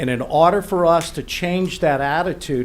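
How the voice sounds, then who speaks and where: A man speaks at a moderate pace with lively intonation. Audible room echo surrounds his voice. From Louisiana, New Iberia. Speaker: hospital board applicant. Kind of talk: public comment at council meeting. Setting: parish council meeting.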